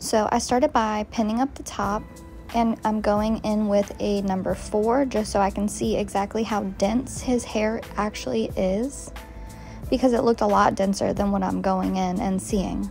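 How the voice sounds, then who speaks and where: At a moderate pace and with fairly even intonation, a woman speaks as faint music plays in the background. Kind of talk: tutorial. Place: shop. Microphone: phone near.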